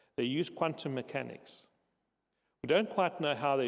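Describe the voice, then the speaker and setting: A man uses a normal speaking voice at a fairly high pitch, moving at a moderate pace with ordinary pitch variation. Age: 60s. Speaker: conference speaker, social enterprise founder. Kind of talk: conference talk.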